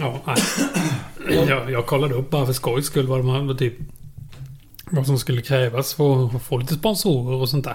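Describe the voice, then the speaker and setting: With a Småland accent, a man speaks at a medium pitch and a fairly slow pace with long, frequent pauses, over noticeable background noise. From Småland, Sweden. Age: 30s. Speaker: podcast co-host. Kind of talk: casual chat.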